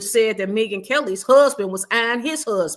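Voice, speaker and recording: At a moderate pace, a woman with an American accent speaks in a bright, sharp tone. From US Midwest, Chicago. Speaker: YouTube commentator. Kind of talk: casual livestream commentary. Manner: casual, conversational with fillers.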